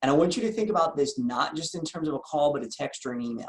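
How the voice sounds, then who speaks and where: This man speaks at a fairly high pitch with an American accent. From US Northeast, Philadelphia. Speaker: insurance agency owner and sales trainer. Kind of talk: training session. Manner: fast; energetic.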